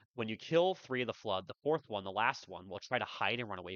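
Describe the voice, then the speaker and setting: A man at a very fast pace, with lively intonation. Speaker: speedrunner. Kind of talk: game tutorial voiceover. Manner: casual.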